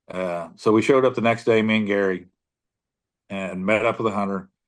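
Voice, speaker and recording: An ordinary speaking voice with an American accent, fairly even intonation and a fairly quick pace over a quiet background. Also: man. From US Midwest, southern Illinois. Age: 60s. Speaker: deer tracker. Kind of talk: interview storytelling. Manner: casual, repetitive fillers.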